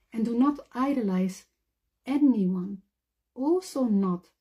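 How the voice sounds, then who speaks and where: Lively intonation and a dark, mellow tone come through on a very clean recording with a silent background. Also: woman. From Netherlands or Flanders. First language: Dutch. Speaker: convert to Islam. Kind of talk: testimony.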